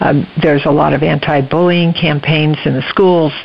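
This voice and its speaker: A woman's very deep, low voice with ordinary pitch variation and noticeable background noise. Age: 70s. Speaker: retired educator and grandmother. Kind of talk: interview.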